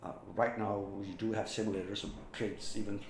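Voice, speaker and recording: A man with a fairly low pitch speaks, and audible room echo can be heard. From Pakistan, Rawalpindi. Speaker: former air force pilot. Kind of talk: personal storytelling vlog. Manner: halting, with repetitions and fillers.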